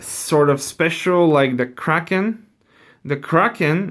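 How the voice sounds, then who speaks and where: On a very clean recording with a silent background, a man speaks at a very slow pace with ordinary pitch variation. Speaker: board game explainer. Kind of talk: tutorial. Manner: halting, many fillers.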